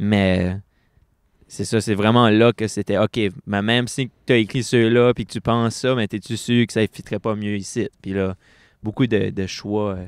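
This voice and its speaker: A man with an Acadian accent, fairly low in pitch, at a fairly slow pace, with monotone, flat intonation and big swings in loudness, on a dry, close, echo-free and very clean recording with a silent background. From Acadia, New Brunswick (Bathurst). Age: 20s. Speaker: poet. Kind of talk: interview. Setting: book fair stage with audience. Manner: casual, halting with fillers.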